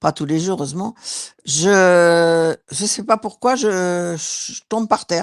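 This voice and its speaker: A woman with a fairly low pitch speaks very slowly, the sound dry and close with no echo. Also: very clean recording, silent background. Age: 60s. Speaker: hypnosis session client. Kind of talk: casual chat. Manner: halting.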